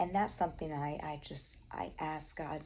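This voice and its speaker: A woman speaks with a Southern US accent. Room echo is audible. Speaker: Bible study vlogger. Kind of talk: Bible study talk. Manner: casual, chatty.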